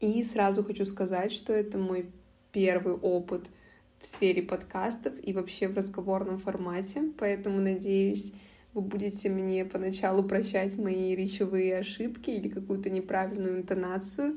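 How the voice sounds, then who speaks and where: A woman speaks at a moderate pace with a medium pitch and fairly even intonation. It is an ordinary speaking voice. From Russia, Karelia (Petrozavodsk). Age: 20s. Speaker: podcast host, university student. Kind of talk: solo podcast monologue.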